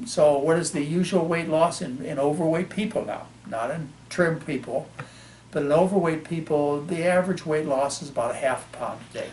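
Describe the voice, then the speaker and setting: A man with a fairly high pitch, ordinary pitch variation and a normal speaking voice. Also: moderate pace. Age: 60s. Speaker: physician. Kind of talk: interview.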